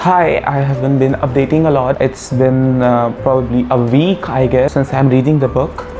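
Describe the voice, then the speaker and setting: A woman's fairly quick, fairly even-toned speech over noticeable background noise. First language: not English. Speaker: book vlogger. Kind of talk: casual vlog talk. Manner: halting, many fillers.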